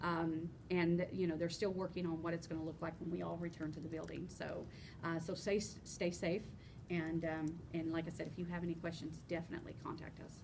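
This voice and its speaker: A woman's fairly low, monotone voice at a fairly quick pace, with audible room echo. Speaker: union chapter officer. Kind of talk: informational podcast chat. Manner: fast.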